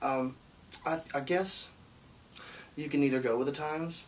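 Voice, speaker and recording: A man's fairly high voice with an American accent, fairly even intonation and noticeable background noise. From Alabama, Muscle Shoals. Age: 20s. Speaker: singer-songwriter. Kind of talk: interview. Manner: halting, many false starts.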